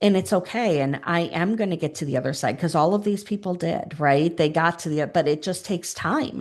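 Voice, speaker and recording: An ordinary speaking voice with ordinary pitch variation over a quiet background. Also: woman. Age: 40s. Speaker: grief consultant and public speaker, former teacher. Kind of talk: podcast interview.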